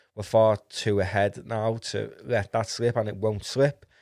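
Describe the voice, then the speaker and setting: In a Liverpool accent, the speaker talks with monotone, flat intonation on a very clean recording against a silent background. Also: man. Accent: Scouse. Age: 20s. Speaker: football podcast host. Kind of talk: casual solo commentary.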